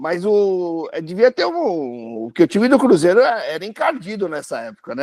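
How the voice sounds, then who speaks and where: Recorded dry and close with no echo, a man speaks at a moderate pace with very wide pitch swings. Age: 60s. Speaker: football fan. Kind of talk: casual chat. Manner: halting, repeats words.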